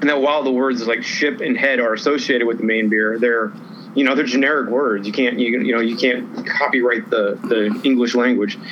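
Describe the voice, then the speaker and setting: Noticeable background noise sits behind a man at medium pitch with ordinary pitch variation. His pace is fairly quick and his loudness very even. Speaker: craft beer news segment co-host. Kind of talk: casual chat. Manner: relaxed, conversational.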